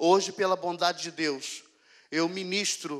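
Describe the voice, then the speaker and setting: Over a quiet background, a man talks at a fairly slow pace. His pitch is high and his intonation fairly even. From Rio de Janeiro, Brazil. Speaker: pastor. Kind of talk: sermon testimony. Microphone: handheld.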